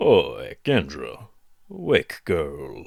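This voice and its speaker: A man's drawling, put-on character voice. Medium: read story. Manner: slurred drawl.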